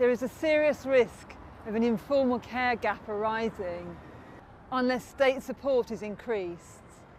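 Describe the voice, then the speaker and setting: A woman speaks at a fairly slow pace with a fairly high pitch. She has an unremarkable speaking voice. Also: ordinary pitch variation. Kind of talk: documentary narration.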